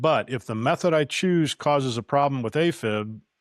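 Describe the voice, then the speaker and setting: A man with an ordinary speaking voice talks at a moderate pace with lively intonation, in a dry, close sound with no echo on a very clean recording with a silent background. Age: 60s. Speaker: weight-loss vlogger. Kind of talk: personal vlog talk to camera. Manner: earnest, measured.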